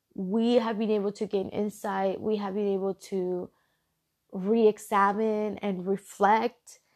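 Against a quiet background, a woman talks at a fairly slow pace in a medium pitch with monotone, flat intonation. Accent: Spanish. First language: Spanish. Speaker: podcast host. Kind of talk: solo podcast monologue.

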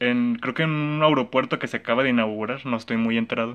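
A man with a normal speaking voice talks at a fairly quick pace in a medium pitch, with ordinary pitch variation. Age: young. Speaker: podcast co-host. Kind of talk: casual chat.

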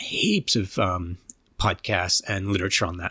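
A man speaks in a bright, sharp tone. The sound is dry and close, with no echo. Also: very clean recording, silent background. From North Africa (Egypt, Morocco, Tunisia). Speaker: bitcoin author and podcaster. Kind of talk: interview conversation. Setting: studio.

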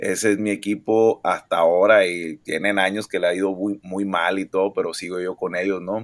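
Here a man talks at a moderate pace with hardly any pauses. His pitch is very deep and low, and his intonation is fairly even. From Mexico (Monterrey) and Panama. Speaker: professional basketball player. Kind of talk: interview.

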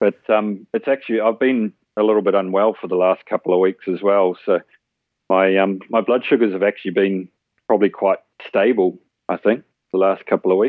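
The speaker has a New Zealand accent and talks at a fairly quick pace. Intonation stays fairly even, and loudness holds very even throughout. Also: man, fairly low pitch for a man. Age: 40s. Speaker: person with type 1 diabetes. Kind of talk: casual interview. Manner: halting, many fillers.

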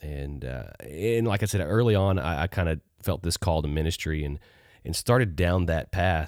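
A speaker with a Texan accent, recorded very cleanly against a silent background. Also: man, very deep, low pitch for a man, ordinary pitch variation, moderate pace. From Texas. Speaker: co-host, church ministry. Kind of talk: casual chat.

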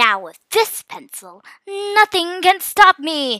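A woman puts on a character voice at an extremely high pitch, with big pitch swings and a bright, sharp tone. She speaks at a slow pace in a dry, close sound with no echo.

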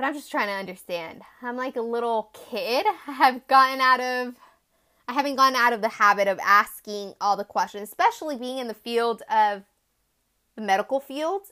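A woman with an American accent talks at a moderate pace in a high pitch, her tone bright and sharp with ordinary pitch variation. Her loudness swings widely. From Arizona, US (Tucson). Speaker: podcast host, graduate student. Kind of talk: casual monologue.

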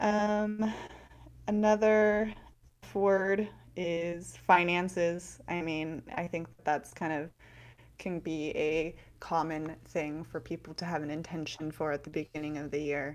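A woman's normal speaking voice with ordinary pitch variation against a quiet background. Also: fairly low pitch for a woman, fairly slow pace. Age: 30s. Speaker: podcast co-host. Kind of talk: casual chat. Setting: remote recording, different states.

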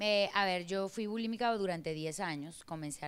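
In a Barranquilla accent, a woman with a medium pitch speaks at a fairly slow pace, her tone animated and her intonation lively. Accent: Barranquilla coastal. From Colombian Caribbean coast, Barranquilla. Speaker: influencer, former carnival queen. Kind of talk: casual interview. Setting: restaurant in a hotel.

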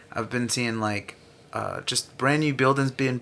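Here is a man with an American accent and an ordinary speaking voice. He keeps a moderate pace and ordinary pitch variation. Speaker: podcast host. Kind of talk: casual chat.

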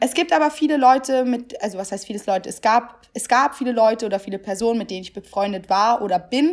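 In a plain, everyday voice, a woman speaks fairly quickly at a fairly high pitch with ordinary pitch variation. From Germany, Italian family from Naples. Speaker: podcast co-host. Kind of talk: casual chat.

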